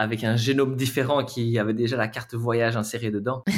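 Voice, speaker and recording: A man with a Belgian accent speaks at a very fast pace, his medium-pitched voice keeping a fairly even intonation. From Belgium, Charleroi area. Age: 20s. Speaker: adventure traveler. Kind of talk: interview. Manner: halting.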